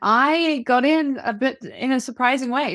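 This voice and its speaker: A woman with a New Zealand accent is heard on a very clean recording with a silent background. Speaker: ADHD coach, former academic. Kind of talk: interview.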